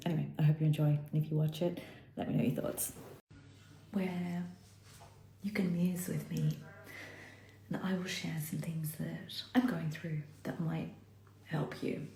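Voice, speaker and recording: A woman speaks at a fairly slow pace with long, frequent pauses. Noticeable background noise and audible room echo surround her. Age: middle-aged. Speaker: self-development vlogger. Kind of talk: casual reflective monologue. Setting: live stream on social media. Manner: deliberately slow.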